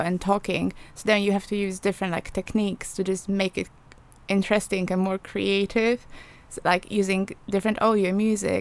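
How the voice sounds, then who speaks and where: Speaking with a Polish accent, a woman holds a medium pitch and fairly even intonation. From Poland. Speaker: journalism student. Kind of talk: casual interview chat. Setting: studio.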